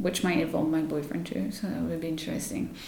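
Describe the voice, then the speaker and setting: There is noticeable background noise, and the room echo is audible. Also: woman. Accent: French. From France. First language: French. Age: 30s. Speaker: yoga teacher. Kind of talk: casual interview. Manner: spontaneous, hesitant with fillers.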